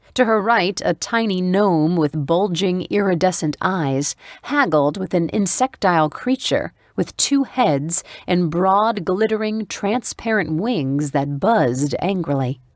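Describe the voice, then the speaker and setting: A woman's lively intonation in an ordinary speaking voice, dry and close with no echo, on a very clean recording with a silent background. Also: medium pitch for a woman, fairly slow pace, very even loudness. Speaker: audiobook narrator. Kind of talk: audiobook narration.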